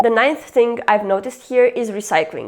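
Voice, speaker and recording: A woman's fairly high voice with lively intonation, a Romanian accent and a moderate pace. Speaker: YouTuber. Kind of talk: casual vlog talk.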